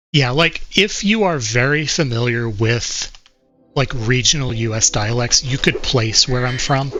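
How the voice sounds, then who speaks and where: A man at a fairly slow pace, medium pitch, with ordinary pitch variation. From United States. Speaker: video game speedrunner streamer. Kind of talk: live-streamed gameplay commentary.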